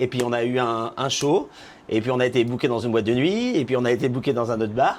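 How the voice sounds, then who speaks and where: A man at a medium pitch with a very fast pace, fairly even intonation and very even loudness. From Normandy, France. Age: 40s. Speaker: drag queen. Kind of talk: casual interview chat.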